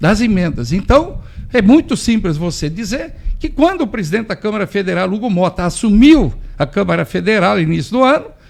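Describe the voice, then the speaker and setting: A man's high voice races along fairly quickly, swinging very widely in pitch. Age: 60s. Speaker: farmer. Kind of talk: radio interview. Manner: animated.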